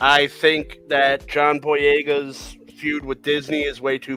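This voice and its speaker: A man speaks over noticeable background noise. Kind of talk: dry, sarcastic everyday tone. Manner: sarcastic.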